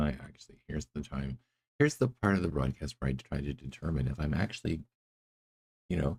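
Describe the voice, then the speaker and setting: A man mumbles at a fairly quick pace, his very deep, low pitch carrying vocal fry and ordinary pitch variation. Long, frequent pauses break up his speech, and the sound is dry and close with no echo. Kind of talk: gaming live stream commentary. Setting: monitor speakers, poor mic setup. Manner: mumbling.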